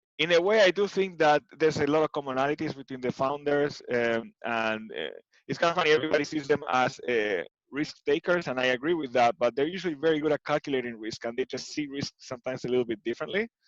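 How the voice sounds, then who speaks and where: A man with an Argentine accent speaks very fast in a fairly high voice, with ordinary pitch variation and a dry, close sound with no echo. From Argentina, Buenos Aires. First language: Spanish. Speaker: tech executive. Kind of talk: interview. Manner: hesitant, many fillers.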